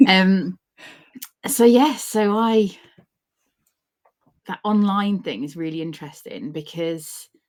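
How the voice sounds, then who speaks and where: On a very clean recording with a silent background, a woman speaks with a British accent. Her intonation is lively. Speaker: organizational psychologist and author. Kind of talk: interview.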